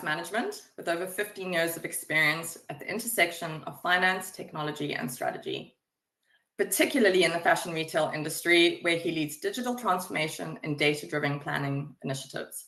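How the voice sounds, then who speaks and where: With a South African accent, a woman talks at a fairly quick pace in a bright, sharp tone, her pitch fairly low and her intonation lively. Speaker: webinar moderator, project manager. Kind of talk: webinar presentation. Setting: online webinar.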